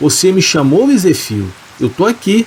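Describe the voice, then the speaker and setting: A hoarse, put-on character voice swings very widely in pitch at a moderate pace over clear background noise. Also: man, high pitch for a man. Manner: sarcastic.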